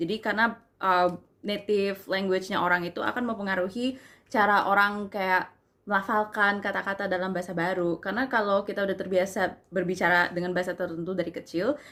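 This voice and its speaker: A woman speaks at a very fast pace with a medium pitch. Her intonation stays fairly even. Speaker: university student; language tutor. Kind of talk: casual talk to camera. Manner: casual, informal.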